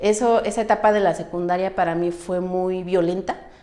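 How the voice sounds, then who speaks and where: With ordinary pitch variation and a dark, mellow tone, a woman talks at a moderate pace. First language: Mixtec (speaking Spanish). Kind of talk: testimony.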